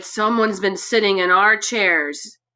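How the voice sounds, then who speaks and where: A raspy, female-sounding put-on character voice at medium pitch and moderate pace, on a very clean recording with a silent background. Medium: read story.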